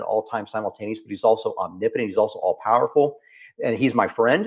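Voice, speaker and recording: With a Texas accent, a man talks at a very fast pace. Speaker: founder and business leader. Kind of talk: interview conversation. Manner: animated, repetitive phrasing.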